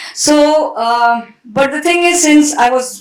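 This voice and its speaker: A woman with a Tamil accent, ordinary pitch variation and audible room echo. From India. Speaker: author and translator. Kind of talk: panel discussion.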